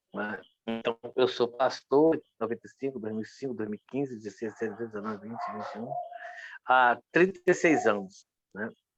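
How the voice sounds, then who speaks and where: An ordinary speaking voice with ordinary pitch variation moves at a moderate pace with big swings in loudness, in a dry, close sound with no echo. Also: man, medium pitch for a man. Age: 60s. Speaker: pastor. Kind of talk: interview testimony.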